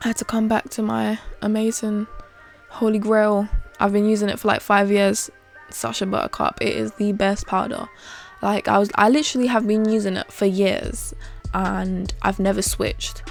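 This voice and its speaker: With music in the background, a woman with a British accent and a medium-pitched voice talks at a moderate pace with fairly even intonation. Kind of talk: makeup tutorial talking to camera. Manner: casual, chatty, opinionated.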